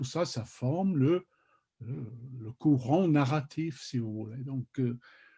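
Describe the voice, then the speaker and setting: A man speaks very slowly with a non-native accent and a dark, mellow, somewhat breathy tone. His intonation is lively, and the sound is dry and close with no echo. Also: big swings in loudness. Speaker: literary scholar, journal contributor. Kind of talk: panel discussion on literature. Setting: video call. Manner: halting, many hesitations and repetitions.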